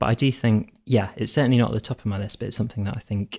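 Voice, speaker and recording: Speaking at a very fast pace, a man with a fairly low pitch sounds somewhat breathy, captured dry and close with no echo in a very clean recording against a silent background. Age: 30s. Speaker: civil servant, policy advisor. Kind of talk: casual chat.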